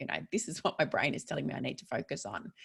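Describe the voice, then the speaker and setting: A woman speaks with an Australian accent. Her voice sounds somewhat breathy. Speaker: psychologist. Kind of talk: online workshop presentation. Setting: online webinar. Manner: fast.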